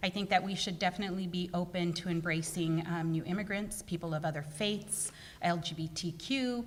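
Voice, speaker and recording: A woman with an American accent speaks fairly quickly, her pitch fairly low and her intonation fairly even, over noticeable background noise. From Fresno, California. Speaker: city council candidate. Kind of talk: candidate forum answers. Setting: public forum with audience. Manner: hesitant, fillers.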